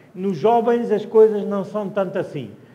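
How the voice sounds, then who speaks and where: A man's high voice against noticeable background noise. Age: 70s. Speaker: wine educator. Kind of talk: wine tasting talk. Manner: halting, with false starts.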